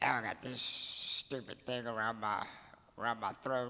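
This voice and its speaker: This man's voice sits at a medium pitch and has a bright, sharp tone. He talks at a moderate pace. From Louisiana (Cajun). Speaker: softball coach. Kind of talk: award acceptance speech.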